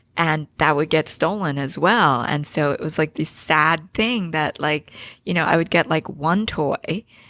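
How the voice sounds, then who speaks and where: A bright, sharp tone in a Philadelphia accent at a fairly slow pace, with ordinary pitch variation and a very clean recording over a silent background. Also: woman, very deep, low pitch for a woman. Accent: American, Philadelphia area. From Philadelphia, Pennsylvania, US (born in Korea). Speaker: business founder and CEO. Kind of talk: podcast interview.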